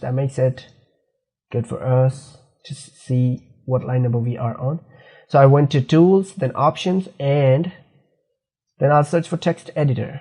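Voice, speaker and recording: This man has a non-native accent and a fairly high pitch, with a dark, mellow, somewhat breathy tone. His pace is moderate. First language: not English. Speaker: programming instructor. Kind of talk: screen-recorded coding tutorial. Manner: halting, self-correcting.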